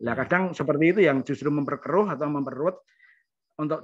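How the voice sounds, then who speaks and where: A man's fairly high voice at a very fast pace against a quiet background. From Kudus, Central Java; Central Java. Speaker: doctor, participant. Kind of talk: online seminar discussion. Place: home room. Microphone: video call.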